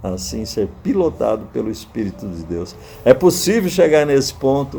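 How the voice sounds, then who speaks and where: A man with a medium pitch speaks fairly slowly, his pitch swinging very widely. Noticeable background noise can be heard. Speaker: pastor and preacher, retired air force colonel. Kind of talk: sermon / Bible teaching to camera.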